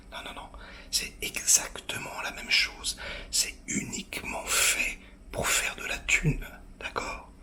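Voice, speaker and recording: Against noticeable background noise, a man whispers at a very slow pace with long, frequent pauses and big swings in loudness. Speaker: film critic reviewer. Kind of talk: film review to camera. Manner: whispered, hushed.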